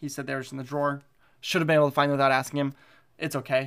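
A fairly high-pitched man with an American accent on a very clean recording with a silent background. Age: 20s. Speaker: podcast host, college student. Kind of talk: solo podcast monologue.

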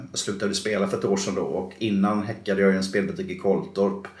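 Fairly quick speech from a man, with audible echo of the room. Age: 40s. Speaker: bus driver and former gambling addict. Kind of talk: interview testimony.

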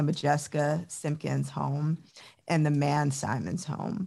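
A woman's very deep, low voice at a fairly slow pace, in a very clean recording with a silent background. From Chicago suburbs, US Midwest. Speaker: dancer, choreographer and professor. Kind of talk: interview.

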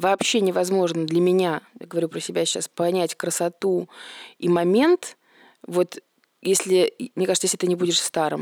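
A woman speaks at a moderate pace in a monotone, flat intonation, with long, frequent pauses and a dry, close sound without echo. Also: fairly low pitch for a woman, very clean recording, silent background. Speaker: restoration business owner. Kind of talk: casual chat.

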